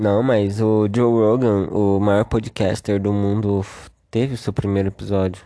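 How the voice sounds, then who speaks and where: Over a quiet background, a man with a fairly low pitch and a dark, mellow tone speaks at a fairly slow pace in a monotone, flat intonation with very even loudness. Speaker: podcast host. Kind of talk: casual chat.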